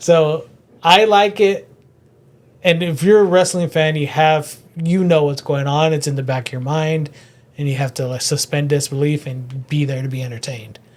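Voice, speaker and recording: This man's voice is somewhat breathy and fairly high in pitch, with ordinary pitch variation. He keeps a moderate pace. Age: 40s. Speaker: comedian. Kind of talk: casual chat.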